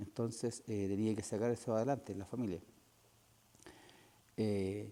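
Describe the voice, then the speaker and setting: A man with a Chilean accent speaks in a monotone, flat intonation at very even loudness, his fairly low voice dark and mellow. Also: moderate pace. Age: 60s. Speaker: war veteran. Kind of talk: interview.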